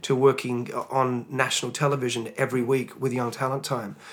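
Speaking with an Australian accent, a man delivers his words at a fairly quick pace in a medium pitch, monotone and flat. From Australia (Tasmania). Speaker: singer and worship leader. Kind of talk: interview testimony.

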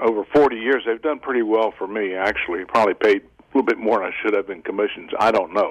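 Amid noticeable background noise, a man with a medium pitch and ordinary pitch variation speaks at a very fast pace. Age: old. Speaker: caller. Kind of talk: phone-in comment. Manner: hesitant, repeats words.

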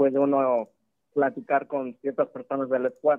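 The speaker is a man with a medium-pitched voice. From Mexico. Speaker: caller. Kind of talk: call-in question to a live show. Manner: hesitant, filler-heavy (este, eh).

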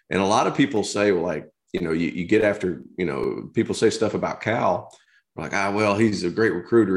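Over a silent background in a very clean recording, a man with an American accent talks at a very fast pace in a fairly low pitch with vocal fry. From rural Tennessee, US South. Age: 30s. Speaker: former college basketball player, basketball analyst. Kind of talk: casual interview.

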